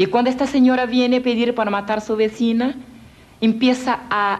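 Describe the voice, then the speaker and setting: Fairly slow speech from a woman with a fairly high pitch. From Brazil, Rio de Janeiro. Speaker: evangelist, former witch. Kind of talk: testimony. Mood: earnest storytelling. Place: garden.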